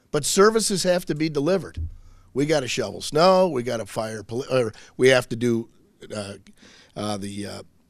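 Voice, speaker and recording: Very wide pitch swings from a man at a moderate pace. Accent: Michigan. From Michigan, Macomb County (St. Clair Shores). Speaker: state senator. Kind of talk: public speech. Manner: loud; animated.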